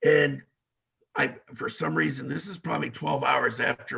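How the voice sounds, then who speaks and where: The man talks at a moderate pace. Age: 40s. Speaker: former MMA fighter. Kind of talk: interview storytelling. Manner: casual, hesitant with many fillers.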